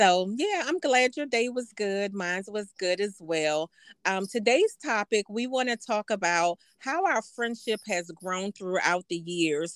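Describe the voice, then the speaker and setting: Recorded dry and close with no echo, a woman in a plain, everyday voice speaks at a fairly slow pace with a medium pitch. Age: 50s. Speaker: podcast co-host and business owner. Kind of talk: casual chat.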